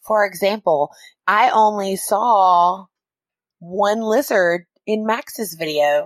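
A woman speaks at a very slow pace with long, frequent pauses, her medium-pitched voice keeping very even loudness and ordinary pitch variation. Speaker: podcast co-host and teacher. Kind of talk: casual chat. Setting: studio.

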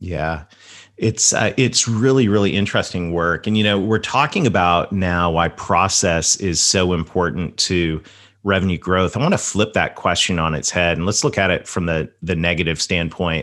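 Speaking at a moderate pace over a quiet background, a man with a Southern US accent has a very deep, low voice. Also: ordinary pitch variation. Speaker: podcast host. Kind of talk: interview conversation.

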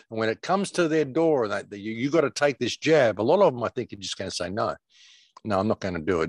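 A man talks at a very fast pace with very wide pitch swings. The sound is dry and close, with no echo. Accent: Australian. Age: 60s. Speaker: alternative media commentator. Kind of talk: casual interview.

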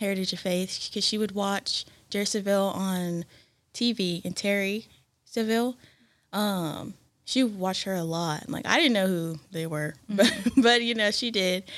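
A woman at a medium pitch and moderate speed, her pitch varying in an ordinary way, with an unremarkable speaking voice. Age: 20s. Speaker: church worship singer. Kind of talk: casual chat.

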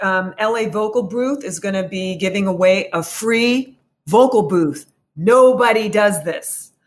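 A woman with an unremarkable speaking voice, at medium pitch with ordinary pitch variation. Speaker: voice arts society representative. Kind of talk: casual interview.

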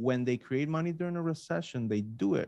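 A man speaks in a normal speaking voice at medium pitch, with ordinary pitch variation. His pace is moderate, and the sound is dry and close with no echo. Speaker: podcast co-host.

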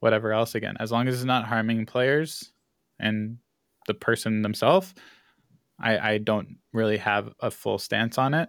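Delivered at a moderate pace with fairly even intonation, this voice carries a Canadian accent. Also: man. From Canada. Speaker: esports executive and college professor. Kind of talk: casual interview chat.

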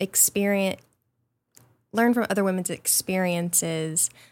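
On a very clean recording with a silent background, a woman of medium pitch speaks with an Arkansas accent. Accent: US Southern (Arkansas). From rural Arkansas, near Mountain View. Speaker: foundation staff member. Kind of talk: interview. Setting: studio.

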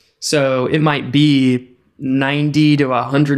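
This man talks with an American accent on a very clean recording with a silent background. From Texas. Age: 30s. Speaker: business owner. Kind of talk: interview.

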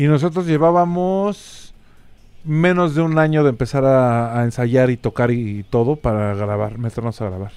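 A man with a Mexico City accent talks at a moderate pace and medium pitch in an animated tone with lively intonation, in a very clean recording with a silent background. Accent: Mexico City Spanish (chilango). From Mexico City (colonia Nápoles). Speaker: rock musician. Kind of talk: casual chat.

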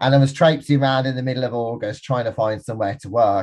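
This man speaks in a Birmingham accent. His pitch is medium and his intonation fairly even. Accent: Birmingham (Brummie). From Birmingham, England. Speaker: entrepreneur, business forum founder. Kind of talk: interview conversation. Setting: video call.

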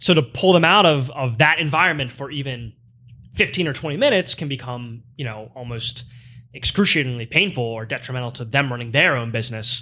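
At a fairly quick pace, a man with a plain, everyday voice speaks with ordinary pitch variation. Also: medium pitch for a man. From Pennsylvania (Lancaster). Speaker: menswear sales director. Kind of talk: casual interview.

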